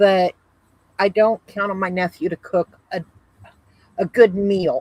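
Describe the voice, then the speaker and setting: Fairly slow and fairly even in intonation, a woman with a normal speaking voice talks at a medium pitch in a dry, close sound with no echo. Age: 60s. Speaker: family member. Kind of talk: casual chat.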